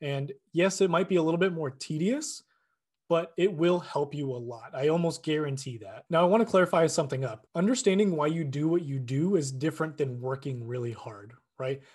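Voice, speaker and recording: A man speaks at a fairly quick pace in an unremarkable speaking voice, pitched fairly high. His intonation is lively, and the background is quiet. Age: 20s. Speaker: fitness podcaster. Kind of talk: solo monologue. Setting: at a desk. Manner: casual, with many fillers.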